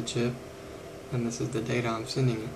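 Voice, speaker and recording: A man speaks over noticeable background noise. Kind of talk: tutorial. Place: workshop. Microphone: phone near.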